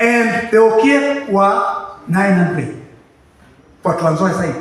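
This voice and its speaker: A man speaks very slowly in a high voice, with ordinary pitch variation. Noticeable background noise and audible room echo fill the recording. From Kenya, West Pokot (Kapenguria). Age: 70s. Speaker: community elder testifying. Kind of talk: testimony. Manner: halting.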